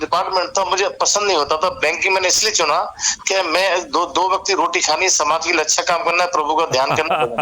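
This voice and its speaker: Here a man speaks at a moderate pace in a high pitch, keeping his loudness very even. Noticeable background noise runs underneath. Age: 60s. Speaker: retired bank manager. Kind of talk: interview. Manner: halting.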